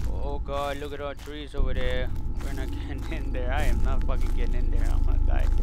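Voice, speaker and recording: The animated, nervous tone comes at a fairly quick pace over noticeable background noise. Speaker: gamer. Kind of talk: let's play commentary, playing a horror game. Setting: home recording of gameplay. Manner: animated, excitable, nervous, cursing and panicking at scares; joking, sarcastic, bragging while scared.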